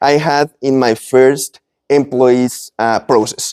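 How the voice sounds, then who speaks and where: A man with a Spanish accent speaks very slowly in a dark, mellow tone. The sound is dry and close, with no echo. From Colombia. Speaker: business owner and speaker. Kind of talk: presentation to live audience. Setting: event with live audience. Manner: halting, with self-corrections.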